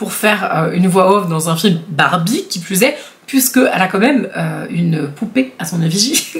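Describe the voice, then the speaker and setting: Against noticeable background noise, a woman speaks at a medium pitch and a moderate pace. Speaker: YouTuber. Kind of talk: casual vlog commentary. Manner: hesitant, many fillers; animated.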